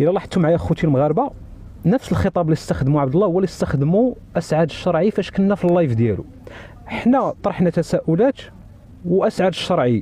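Lively intonation and a fairly quick pace mark this dry recording with no echo and very even loudness. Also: man, high pitch for a man. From Morocco. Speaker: TikTok live participant; guest. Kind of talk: heated debate. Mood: critical, indignant. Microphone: phone near.

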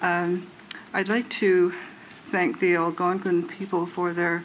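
Over light background noise, a man with a high pitch speaks at a fairly slow pace. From Canada. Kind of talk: prayer. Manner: halting. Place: hall. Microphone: podium.

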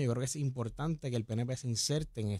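Against a quiet background, a man talks at a fairly quick pace with a dry sound and no echo. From Puerto Rico, Dorado; Puerto Rico. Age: young. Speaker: young political activist; talk show guest or co-host. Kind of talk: radio interview. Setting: studio. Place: studio. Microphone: studio mic.

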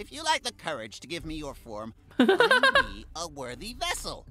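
The speaker uses a strained, put-on character voice at a moderate pace. Music plays in the background. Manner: strained villain voice.

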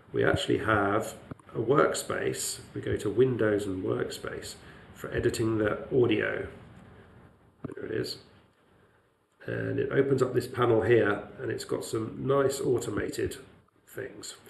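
A man at a fairly slow pace with long, frequent pauses, plus audible room echo and noticeable background noise. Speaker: lecturer. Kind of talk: tutorial.

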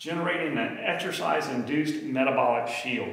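At a moderate pace, a man speaks in a room with audible echo. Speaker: health educator. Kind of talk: lecture. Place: gym.

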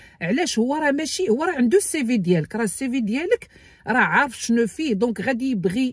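A woman at a high pitch, very fast and with very wide pitch swings, in a dry sound with no echo against a quiet background. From Morocco. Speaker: YouTuber giving immigration advice. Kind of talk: tutorial. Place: car. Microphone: phone near.

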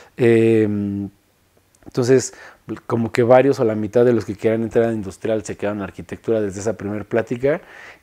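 In a Mexico City accent, the voice has a dark, mellow tone over a quiet background. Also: man. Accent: central Mexican Spanish (Mexico City). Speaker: industrial designer. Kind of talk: interview monologue. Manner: halting, many repetitions and fillers. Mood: relaxed, reflective. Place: studio.

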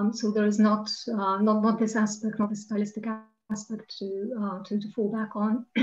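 At a moderate pace, a woman talks in a fairly high pitch with monotone, flat intonation. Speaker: associate professor and translator. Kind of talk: academic roundtable discussion. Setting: video call.

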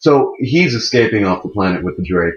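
A man speaks at a fairly quick pace with lively intonation and a fairly low pitch, his voice somewhat breathy. The background is quiet, though room echo is audible. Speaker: gaming video creator. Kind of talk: let's play gameplay commentary. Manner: animated.

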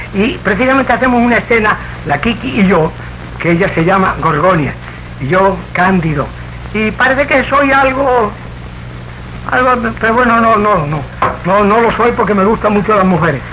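Over light background noise, a man speaks in a raised, projected voice at a moderate pace with long, frequent pauses. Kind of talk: emotional speech to audience. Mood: moved, emotional. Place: studio.

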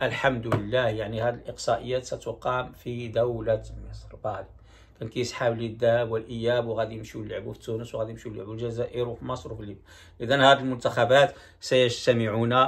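In a Moroccan accent, the speaker talks at a fairly quick pace in a somewhat breathy, monotone voice with flat intonation and big swings in loudness. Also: man. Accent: Moroccan Darija. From Morocco. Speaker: YouTube commentator. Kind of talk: video commentary. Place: home room. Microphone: phone near.

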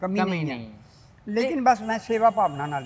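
Light background noise sits behind a man's voice. He talks in a high pitch with lively intonation. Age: old. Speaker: retired army serviceman. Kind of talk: interview answer. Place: street. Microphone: lapel.

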